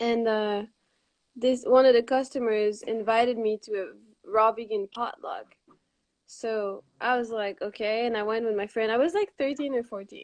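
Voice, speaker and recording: A woman in a Quebec accent, fairly high in pitch, with ordinary pitch variation. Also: moderate pace. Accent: French Canadian accent in English. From Quebec, Montreal. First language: Quebec French. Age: 20s. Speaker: raw vegan author. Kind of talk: interview.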